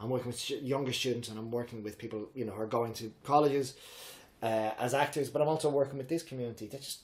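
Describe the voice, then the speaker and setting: A man talks at a very fast pace with ordinary pitch variation. His voice sounds somewhat breathy. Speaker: drama teacher and improv coach. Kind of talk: interview. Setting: at the host's home. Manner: high energy.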